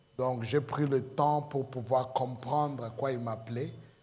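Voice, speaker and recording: Somewhat breathy and fairly slow, a man with a non-native accent speaks at medium pitch in a flat monotone, with audible echo from the room. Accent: non-native French, self-described weak French. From Congo. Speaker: pastor. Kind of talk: sermon. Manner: halting, many hesitations.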